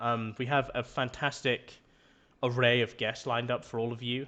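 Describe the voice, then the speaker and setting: With monotone, flat intonation, a man delivers his words at a moderate pace. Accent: English. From England. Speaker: podcast host, shaving business employee. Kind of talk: casual podcast chat.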